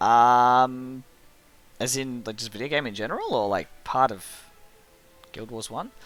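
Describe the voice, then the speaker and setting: With an Australian accent, the speaker talks over music in the background, with big swings in loudness and long, frequent pauses. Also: man, medium pitch for a man, fairly even intonation, fairly slow pace. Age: 30s. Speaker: gaming streamer. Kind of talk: casual chat while gaming.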